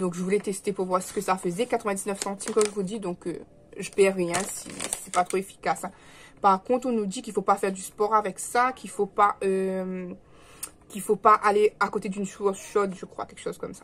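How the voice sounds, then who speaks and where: The speech moves at a fairly quick pace with monotone, flat intonation and big swings in loudness, over noticeable background noise. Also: woman, medium pitch for a woman. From Réunion. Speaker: vlogger. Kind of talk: casual vlog chat. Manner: hesitant, many fillers; speaking softly.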